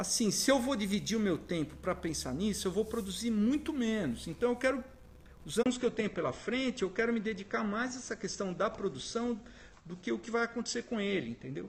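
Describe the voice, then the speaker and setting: A man with a high pitch and ordinary pitch variation speaks at a fairly quick pace. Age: 60s. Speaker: photographer. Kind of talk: interview.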